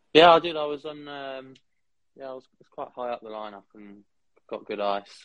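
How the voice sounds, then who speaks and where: A man's fairly high voice at a moderate pace, with ordinary pitch variation, big swings in loudness, and long, frequent pauses. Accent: southern English. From Kent, England. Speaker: student ice hockey player. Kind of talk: casual interview.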